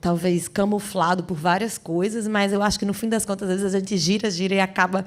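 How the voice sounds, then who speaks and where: Her tone is animated. This woman's voice sits at a medium pitch for a woman. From Brazil, Rio Grande do Norte (Natal). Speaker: singer and actress. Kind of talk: interview. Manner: animated, with repetitions.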